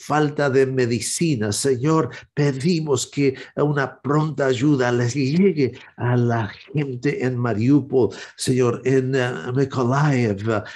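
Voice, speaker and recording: Solemn in tone, the speech unfolds at a very slow pace with ordinary pitch variation. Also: man. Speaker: evangelist and prayer show host. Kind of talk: fervent intercessory prayer, addressing God directly. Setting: online broadcast. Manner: earnest, pleading, solemn; halting, with frequent filler hesitations. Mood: earnest, pleading prayer. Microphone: webcam.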